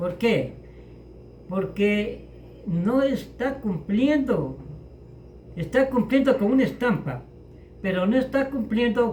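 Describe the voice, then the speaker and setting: The man's delivery is very slow, broken by long, frequent pauses, with a high pitch and lively intonation. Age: 80s+. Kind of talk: interview answer.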